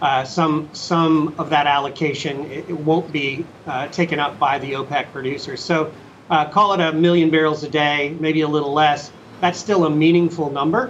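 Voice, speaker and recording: Over noticeable background noise, a man speaks at a moderate pace with a fairly high pitch and fairly even intonation. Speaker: energy investor. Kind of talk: market analysis interview.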